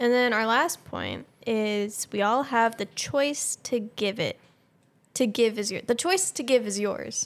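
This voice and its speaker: On a very clean recording with a silent background, a woman with an ordinary speaking voice talks fairly slowly at a fairly high pitch, with ordinary pitch variation. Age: young. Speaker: podcast co-host. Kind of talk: casual chat.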